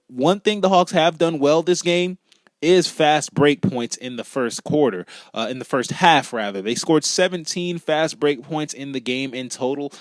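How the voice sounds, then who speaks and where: This man has an ordinary speaking voice, fairly high in pitch, with lively intonation. He talks at a moderate pace, and the sound is dry and close with no echo. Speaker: sports play-by-play commentator. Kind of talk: live basketball play-by-play commentary.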